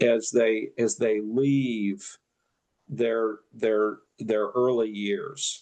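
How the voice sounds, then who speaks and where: This is a man talking. He keeps a fairly even intonation. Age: 70s. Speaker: retired pastor. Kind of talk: interview. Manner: halting.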